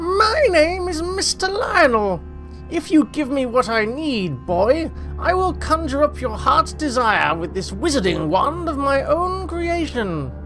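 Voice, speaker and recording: A put-on character voice speaks at a fairly slow pace over clear background music. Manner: mad, cackling.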